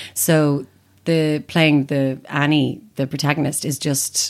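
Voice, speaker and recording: A woman with an Irish accent and a very deep, low pitch at a very slow pace, on a very clean recording with a silent background. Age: 30s. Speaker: actor and writer. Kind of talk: casual chat. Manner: animated.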